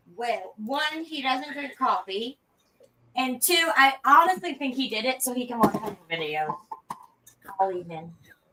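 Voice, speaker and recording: A woman speaks loudly in a high voice with very wide pitch swings. Her pace is fairly slow, with long, frequent pauses. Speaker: cooking livestream host. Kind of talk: casual chat.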